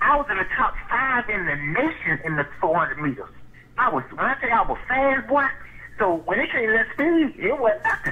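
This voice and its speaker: Speaking at a moderate pace with an American accent, a man is heard over noticeable background noise. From Jacksonville, Florida (north side). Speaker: former pro football player. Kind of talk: casual interview.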